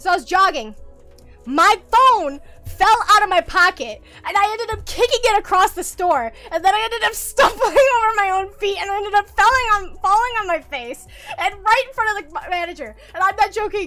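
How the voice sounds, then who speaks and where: In a raised, projected voice at an extremely high pitch, a woman speaks at a fairly quick pace with lively intonation and an animated tone. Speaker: vtuber streamer. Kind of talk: casual livestream chat.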